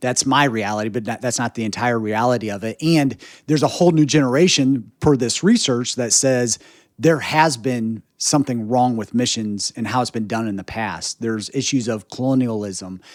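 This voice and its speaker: A plain, everyday voice from a man, medium in pitch and moderate in pace, on a very clean recording with a silent background. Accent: American. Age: 40s. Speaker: podcast host. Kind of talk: interview conversation.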